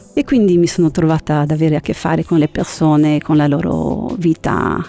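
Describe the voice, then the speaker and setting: A woman with a very deep, low pitch talks at a fairly quick pace. Her pitch variation is ordinary, and there is noticeable background noise. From northern Italy, Genoa and Milan. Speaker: university student. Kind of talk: interview.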